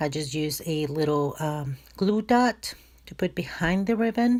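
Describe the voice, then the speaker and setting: On a very clean recording with a silent background, a woman with a non-native accent speaks at a fairly slow pace in a very deep, low pitch. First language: not English. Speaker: crafting YouTuber. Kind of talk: tutorial. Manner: hesitant, many fillers.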